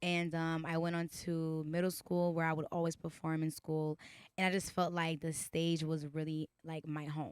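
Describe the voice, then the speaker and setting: At a moderate pace, a woman with a slight Haitian accent speaks at a fairly low pitch. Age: 20s. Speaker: singer. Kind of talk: interview. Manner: animated.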